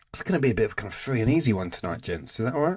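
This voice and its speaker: Talking at a very fast pace, this man speaks with a British accent. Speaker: podcast host. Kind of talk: casual chat.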